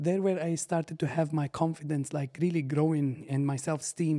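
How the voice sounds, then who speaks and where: Fairly quick and monotone with flat intonation, this man has a dark, mellow tone and a fairly high pitch. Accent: Arabic. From Syria. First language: Arabic. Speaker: barber and business owner. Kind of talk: casual interview. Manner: halting.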